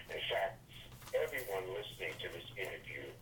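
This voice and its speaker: A man's voice is heard amid noticeable background noise, with room echo clearly audible. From US Northeast, Brooklyn, New York. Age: 60s. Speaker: author and networking speaker. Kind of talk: interview. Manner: emphatic, preacher-like cadence.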